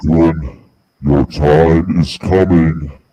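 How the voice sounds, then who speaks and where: In a put-on character voice, a man talks at a very slow pace with a very deep, low pitch. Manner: menacing.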